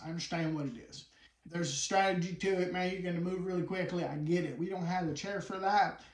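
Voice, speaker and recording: A man with a high pitch and a West Virginia accent, with audible room echo. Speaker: wheelchair boxer. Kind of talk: casual interview chat. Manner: animated.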